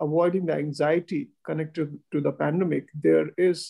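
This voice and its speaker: With a quiet background behind him, the man keeps a moderate pace. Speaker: guest. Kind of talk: formal welcome remarks. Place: office. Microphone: video call.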